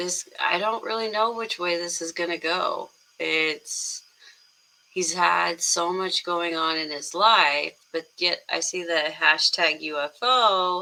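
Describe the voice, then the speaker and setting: Quietly and at a very slow pace, a woman talks at a fairly low pitch with ordinary pitch variation. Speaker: music reaction YouTuber. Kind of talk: casual reaction video talk.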